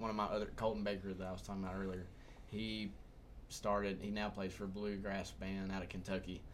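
A man speaks with a Southern US accent. His pitch sits fairly low. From Humboldt, Tennessee. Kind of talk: casual chat.

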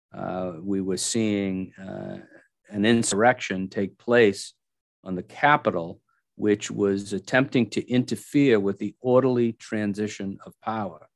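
A man with an American accent uses an ordinary speaking voice, fairly low in pitch with ordinary variation, at a fairly slow pace. His loudness swings widely, and the sound is dry and close with no echo against a quiet background. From Massachusetts. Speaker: state legislator. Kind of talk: casual interview.

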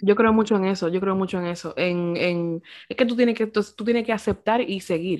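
Using an ordinary speaking voice, a woman talks at a moderate pace with a medium pitch and fairly even intonation in a very clean recording over a silent background. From Dominican Republic. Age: 20s. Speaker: podcast co-host. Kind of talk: casual chat.

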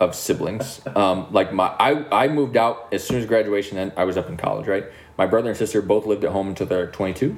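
Amid noticeable background noise, a man talks at a fairly quick pace with a fairly low pitch. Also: ordinary pitch variation. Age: 30s. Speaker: podcast host. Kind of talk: casual chat.

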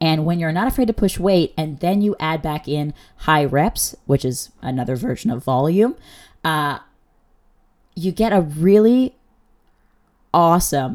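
Speaking at a fairly slow pace, a woman with a fairly low pitch uses lively intonation and an animated tone. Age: 20s. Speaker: podcast host and bikini bodybuilding competitor. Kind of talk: casual solo podcast monologue. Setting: home recording for podcast and video at once. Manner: animated, casual with many fillers.

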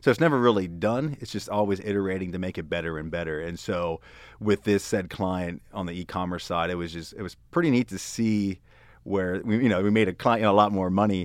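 With a Pennsylvania accent, a man with a very deep, low voice speaks fairly quickly, showing ordinary pitch variation and big swings in loudness, in a very clean recording with a silent background. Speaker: user experience designer. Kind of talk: casual interview chat.

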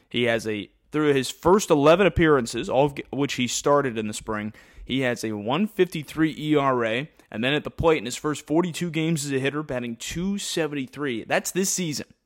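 A plain, everyday voice from a man, fairly high in pitch with ordinary pitch variation, at a fairly quick pace. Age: 20s. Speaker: baseball play-by-play announcer and podcast host. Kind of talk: sports podcast roster rundown.

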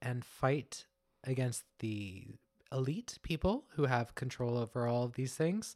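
A man with a medium-pitched voice speaks fairly slowly, his pitch varying in an ordinary way. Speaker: podcast co-host. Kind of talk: casual chat. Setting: studio. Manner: energetic, wired.

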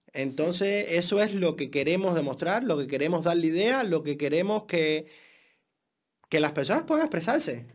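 On a very clean recording with a silent background, a man with a Cuban accent and a high pitch speaks at a moderate pace, with lively intonation and very even loudness. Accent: Cuban accent, keeps it. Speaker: podcast co-host. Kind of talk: casual chat.

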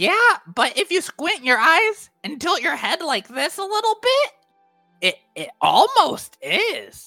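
A man's put-on character voice at a fairly slow pace, with faint music in the background. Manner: laid-back surfer-bro slang, dreamy.

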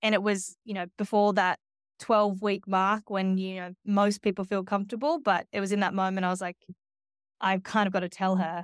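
A woman with an Australian accent, medium-pitched and monotone, at a fairly quick pace, in a dry, close sound with no echo and a very clean recording over a silent background. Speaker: media agency executive. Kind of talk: interview.

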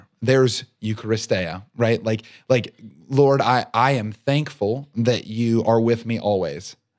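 Speaking in a normal speaking voice, a man talks fairly slowly at a medium pitch with ordinary pitch variation. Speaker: podcast host. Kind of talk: casual faith discussion.

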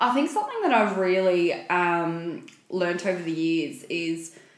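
Up and down, the pitch moves over a very wide range. An echo from the room can be heard. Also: woman. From small rural town. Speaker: podcast co-host. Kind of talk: casual chat.

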